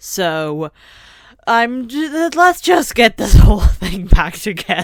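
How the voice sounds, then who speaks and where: A woman speaking at a very slow pace on a very clean recording with a silent background. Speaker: art youtuber. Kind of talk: casual vlog commentary. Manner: hysterical laughter.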